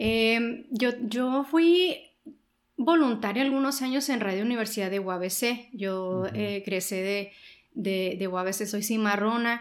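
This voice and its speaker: Speaking at a very slow pace, a woman with a fairly high pitch and ordinary pitch variation is heard with audible room echo. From Sonora, Mexico. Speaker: journalist and newspaper co-founder. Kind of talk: interview.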